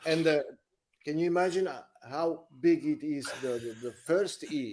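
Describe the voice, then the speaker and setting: A man talks with an Italian accent. He speaks at a fairly slow pace. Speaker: musician. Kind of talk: casual chat. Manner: halting.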